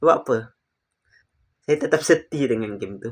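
A man talks at a moderate pace. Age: 20s. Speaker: gaming YouTuber. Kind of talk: casual commentary video. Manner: halting.

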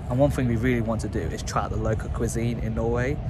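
Music plays in the background while a man speaks at a very fast pace. The sound is dry, with no echo. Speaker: travel vlogger. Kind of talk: casual vlog chat. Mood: upbeat, friendly. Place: street. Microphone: phone near.

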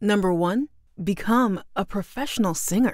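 Speaking at a fairly slow pace, a woman with a normal speaking voice and medium pitch uses lively intonation. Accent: American. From San Francisco Bay Area, USA. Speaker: voice actor, singer and expression coach. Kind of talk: personal introduction story to camera (LinkedIn profile).

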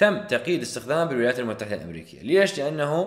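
A man speaks with an Iraqi accent and very wide pitch swings. Audible room echo surrounds him. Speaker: dental pharmacology lecturer. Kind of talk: lecture.

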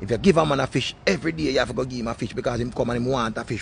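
The sound is dry with no echo, and there is light background noise. The speaker talks with a Jamaican accent. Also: man. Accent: Jamaican Patois. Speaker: online video host. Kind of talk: casual monologue. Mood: animated, opinionated. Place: garden. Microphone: phone near.

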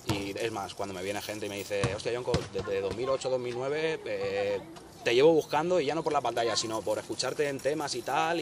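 A man at a medium pitch and a fairly quick pace, lively in intonation, over noticeable background noise. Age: 30s. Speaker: rapper. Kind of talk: interview.

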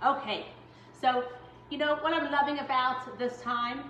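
A woman is speaking with audible room echo. Light background noise sits underneath. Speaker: home baking instructor. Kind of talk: tutorial. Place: kitchen. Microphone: camera far.

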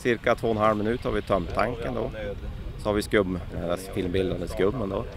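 Over noticeable background noise, a man with a fairly low voice speaks at a moderate pace with fairly even intonation. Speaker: firefighter. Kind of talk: casual interview. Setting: outdoors.

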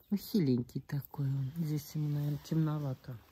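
Somewhat breathy, a woman's voice sits at a very deep, low pitch with a dark, mellow tone. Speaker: gardening video blogger. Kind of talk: casual garden tour vlog. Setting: outdoors in her garden. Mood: calm, slightly concerned. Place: garden. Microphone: phone near.

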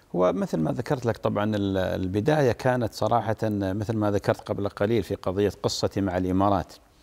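This man talks with hardly any pauses and ordinary pitch variation. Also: fairly low pitch for a man, moderate pace. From northern Saudi Arabia (Arar); Saudi Arabia. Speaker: Islamic scholar and preacher; preacher. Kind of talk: interview. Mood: calm, modest, smiling. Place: studio. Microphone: lapel.

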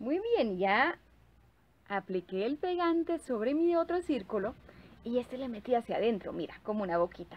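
Her pitch high for a woman, she talks at a moderate pace. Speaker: presenter. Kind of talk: tutorial. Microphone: phone near.

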